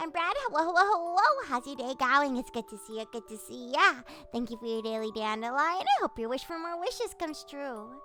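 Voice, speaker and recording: A woman projects a raised, high-pitched voice at a fairly quick pace, with very wide pitch swings and big swings in loudness. Music plays in the background. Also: hardly any pauses. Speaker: vtuber streamer. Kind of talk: casual chat with live chat. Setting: livestream.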